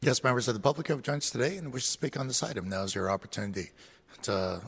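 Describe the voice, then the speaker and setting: Talking at a very fast pace, a man uses lively intonation in a somewhat breathy voice, recorded dry and close with no echo. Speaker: committee clerk. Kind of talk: formal procedural announcements. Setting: council chamber. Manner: formal.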